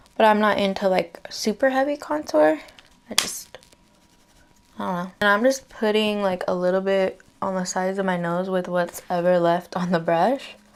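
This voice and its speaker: Against noticeable background noise, a quiet woman speaks at a moderate pace with a medium pitch and ordinary pitch variation. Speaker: beauty vlogger. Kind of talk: makeup tutorial. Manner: casual, chatty; trying to be quiet.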